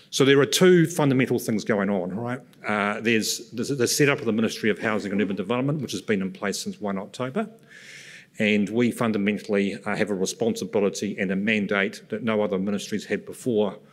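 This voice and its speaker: Against a quiet background, a man with a fairly low pitch and ordinary pitch variation talks at a very fast pace. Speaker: presenter. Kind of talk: conference presentation. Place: stage. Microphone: podium.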